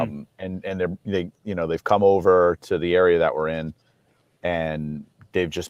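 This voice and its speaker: A man with a very deep, low pitch, fairly even intonation and a moderate pace. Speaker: toy company designer. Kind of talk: casual chat. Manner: loud.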